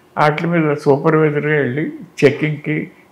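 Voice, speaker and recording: This is a man's voice. His pitch sits fairly high. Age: 80s+. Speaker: lyricist. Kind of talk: interview answer.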